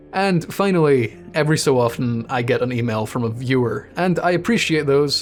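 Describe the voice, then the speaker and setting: A man talks with music playing in the background. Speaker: YouTuber reviewing horror games. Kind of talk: casual monologue to viewers.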